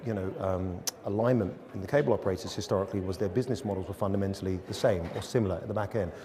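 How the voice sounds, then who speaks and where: A man's fairly low voice in an English accent at a very fast pace, with noticeable background noise. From England. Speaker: media agency executive. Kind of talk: interview. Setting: studio.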